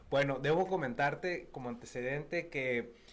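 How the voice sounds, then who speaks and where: A normal speaking voice from a man, fairly high in pitch. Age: 30s. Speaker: state legislator. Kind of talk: radio interview. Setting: radio studio.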